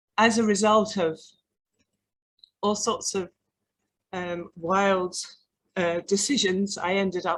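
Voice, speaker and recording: A woman talks in a London accent at a fairly slow pace. Her intonation is monotone and flat. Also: long, frequent pauses. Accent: English (London), noticeable. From London, England. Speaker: artist and arts practitioner. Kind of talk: panel talk. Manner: hesitant, with fillers.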